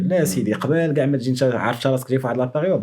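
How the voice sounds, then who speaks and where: This man talks at a very fast pace, his pitch medium and its variation ordinary. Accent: Moroccan. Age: young. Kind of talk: casual podcast conversation.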